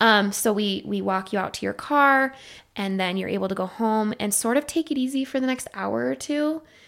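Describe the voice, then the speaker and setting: Woman with an ordinary speaking voice, fairly high in pitch, lively intonation, moderate pace, very clean recording with a silent background. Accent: American. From Idaho. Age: 30s. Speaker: psychiatric nurse practitioner. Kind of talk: interview.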